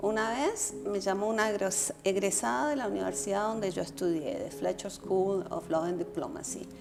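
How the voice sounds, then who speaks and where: A woman of medium pitch speaks with hardly any pauses and very wide pitch swings, with audible room echo and noticeable background noise. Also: moderate pace. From Colombia. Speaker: political scientist and former vice foreign minister. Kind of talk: casual conversation.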